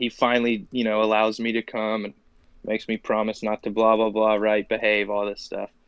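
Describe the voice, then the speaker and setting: A man speaks in an American accent at medium pitch and a moderate pace. His intonation stays monotone and flat. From Oklahoma, US South. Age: 20s. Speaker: professional MMA fighter. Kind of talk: casual interview.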